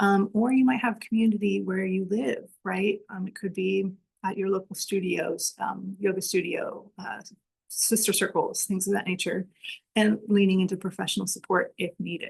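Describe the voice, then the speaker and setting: Vocal fry runs through this woman's medium-pitched voice. She talks at a moderate pace with fairly even intonation. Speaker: webinar presenter on somatics. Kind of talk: webinar presentation.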